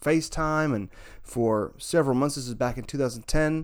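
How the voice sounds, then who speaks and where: A medium-pitched man with a Southern US accent at a moderate pace, with ordinary pitch variation, on a very clean recording with a silent background. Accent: Southern American. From US South, northern Alabama. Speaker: musician and writer. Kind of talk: interview. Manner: halting, with fillers and repetitions.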